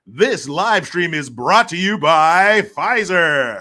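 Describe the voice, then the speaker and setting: A man puts on a character voice at a high pitch. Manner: put-on announcer voice.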